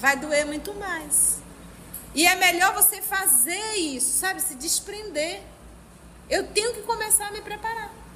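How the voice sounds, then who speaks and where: Through audible room echo, a woman with an extremely high pitch speaks in a raised, projected voice with an animated tone and lively intonation, at a fairly slow pace with long, frequent pauses. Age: 50s. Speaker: spiritist study group leader. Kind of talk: religious study lecture.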